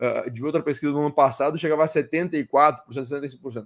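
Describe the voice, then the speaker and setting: The voice is a man's. His pitch shows ordinary variation. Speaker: crypto mining industry speaker. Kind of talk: conference talk. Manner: fast; hesitant, many fillers.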